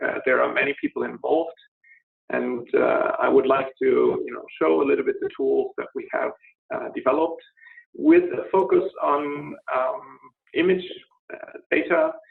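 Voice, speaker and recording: A man with a German accent at a moderate pace. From Germany, Berlin. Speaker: scientist presenter. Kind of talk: webinar presentation. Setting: online webinar. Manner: halting, many fillers.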